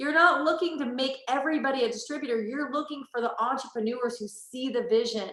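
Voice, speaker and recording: A raised, projected voice with a bright, sharp tone carries ordinary pitch variation over audible room echo. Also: woman. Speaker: network marketing leader. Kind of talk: motivational talk. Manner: fast; animated.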